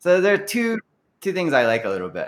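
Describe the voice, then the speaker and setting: In a very clean recording with a silent background, a man with an American accent uses an ordinary speaking voice, talking at a fairly quick pace with lively intonation. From Kentucky, US (Louisville). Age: 40s. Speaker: musician. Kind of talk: casual interview chat.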